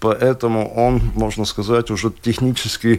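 A man talks at a moderate pace. His voice is fairly low in pitch. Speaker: archery instructor. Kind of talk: casual interview. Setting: studio. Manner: halting, hesitant, filler words.

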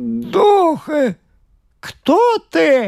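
A put-on character voice, high-pitched and shaky, shouting. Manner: shouting in fear.

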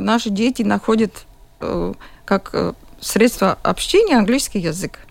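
A woman speaks with a Latvian accent at a fairly slow pace. Her delivery has long, frequent pauses. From Latvia, Jurmala. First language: Latvian (speaking Russian). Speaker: school principal. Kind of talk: radio interview. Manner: halting.

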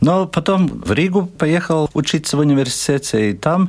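The speaker has a Latvian accent. The pace is fairly slow. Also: man. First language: Latvian (speaking Russian). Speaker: ethnomusicologist and professor. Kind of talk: interview.

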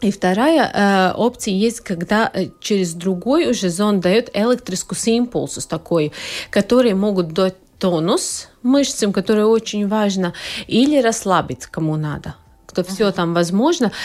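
With a Latvian accent, a woman speaks at a moderate pace in a medium pitch. Her intonation is lively. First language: Latvian (speaking Russian). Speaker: proctologist. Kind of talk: radio interview. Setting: studio.

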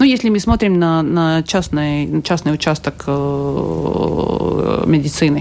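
A woman with a very deep, low voice speaks at a very slow pace, with lively intonation and hardly any pauses. Noticeable background noise runs underneath. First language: Latvian (speaking Russian). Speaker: health minister. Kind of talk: radio interview. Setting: radio studio. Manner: halting.

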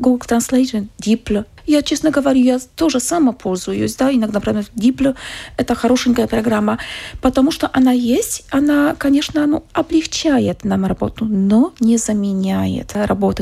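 This woman has a fairly high pitch, a dark, mellow tone with vocal fry and a slightly husky edge, and she talks at a moderate pace with ordinary pitch variation.

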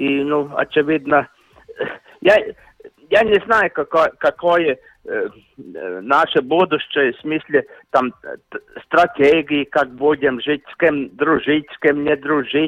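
Delivered at a very slow pace with long, frequent pauses, the voice shows ordinary pitch variation and big swings in loudness. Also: man, fairly high pitch for a man. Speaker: hockey commentator. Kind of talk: interview. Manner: halting.

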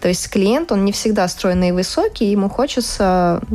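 Against noticeable background noise, a woman of medium pitch talks at a moderate pace with ordinary pitch variation. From Latvia. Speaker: fashion illustrator. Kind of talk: casual interview.

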